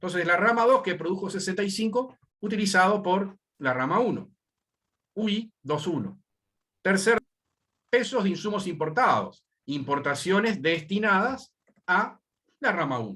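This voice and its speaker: With a raised, projected voice, a man speaks in a bright, sharp tone at a high pitch, using lively intonation and long, frequent pauses. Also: fairly slow pace. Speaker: university lecturer. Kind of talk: lecture.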